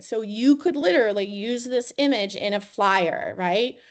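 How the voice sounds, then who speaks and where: A woman speaks in a normal speaking voice, her fairly high pitch carried by lively intonation over a quiet background. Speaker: university educational technology trainer. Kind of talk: webinar tutorial.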